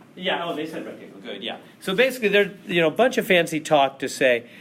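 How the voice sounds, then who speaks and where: There is noticeable background noise. A man with a fairly high pitch makes very wide pitch swings. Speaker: math teacher. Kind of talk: classroom lecture. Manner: fast; animated.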